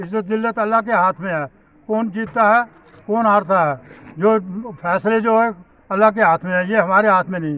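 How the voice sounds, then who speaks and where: The pace is moderate. Pitch variation is ordinary. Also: man, high pitch for a man. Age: 70s. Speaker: local politician. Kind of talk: press statement.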